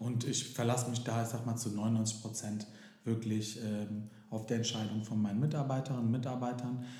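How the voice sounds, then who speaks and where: In a room with audible echo and noticeable background noise, a man talks at a moderate pace in a medium pitch, his intonation flat and monotone. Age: 30s. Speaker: daycare center director and singer. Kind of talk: interview.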